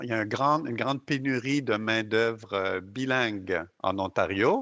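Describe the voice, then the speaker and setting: A man talks at a fairly slow pace in a Quebec accent. The sound is dry and close, with no echo. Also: quiet background. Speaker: interviewer. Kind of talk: interview. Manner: halting.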